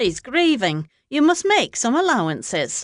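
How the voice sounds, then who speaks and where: A put-on character voice, female-sounding and high-pitched, with very wide pitch swings at a moderate pace over a quiet background. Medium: read story. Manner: stiff, clipped.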